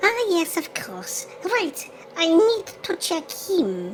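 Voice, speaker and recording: A woman does a squeaky, put-on character voice at extremely high pitch and very slow pace, with clear background noise. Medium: audio drama. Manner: fretful, repeats "oh dear".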